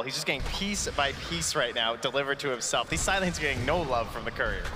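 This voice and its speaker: Noticeable background noise behind a man speaking at a very fast pace, with ordinary pitch variation. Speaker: esports commentator. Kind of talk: live esports commentary. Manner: animated, casual, laughing.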